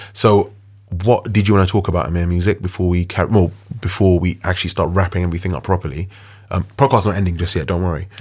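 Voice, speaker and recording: A man speaks very fast in a very deep, low, somewhat breathy voice. His intonation is fairly even, and the recording is very clean with a silent background. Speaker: DJ and radio show host. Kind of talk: casual chat.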